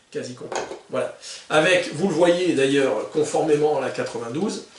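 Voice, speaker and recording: A man speaks at a fairly slow pace, his voice picking up audible room echo amid noticeable background noise. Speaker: gun collector YouTuber. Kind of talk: product presentation video. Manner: hesitant, many filler sounds; usually slow-paced.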